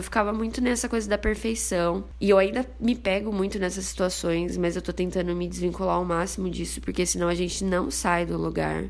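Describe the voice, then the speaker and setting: A woman talking at a moderate pace is heard with audible room echo. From interior of São Paulo state, Brazil (Bauru). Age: 20s. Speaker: podcast host, journalism student. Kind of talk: casual solo podcast monologue.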